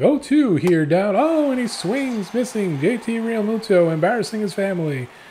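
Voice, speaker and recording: Over clear background noise, a man performs a high-pitched, put-on character voice. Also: moderate pace. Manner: excited, dramatic play-by-play.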